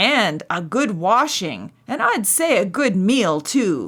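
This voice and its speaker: Putting on a character voice, a woman growls at a fairly slow pace, her fairly high pitch swinging very widely. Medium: read story.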